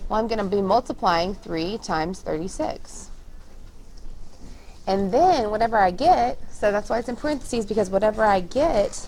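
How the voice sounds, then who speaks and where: Lively intonation in an unremarkable speaking voice at a moderate pace. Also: woman, fairly high pitch for a woman. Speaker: schoolteacher. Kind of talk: tutorial.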